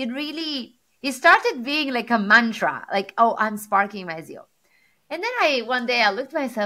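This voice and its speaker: In an Italian accent, a woman speaks at a moderate pace with a fairly high, bright, sharp voice and very wide pitch swings. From Sardinia, Italy. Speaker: tech executive and motivational speaker. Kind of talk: interview. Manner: animated.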